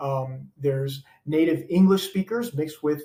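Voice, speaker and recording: A somewhat breathy man at a moderate pace, fairly high in pitch, with ordinary pitch variation. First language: not English. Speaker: former education official. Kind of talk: interview. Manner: hesitant, many fillers.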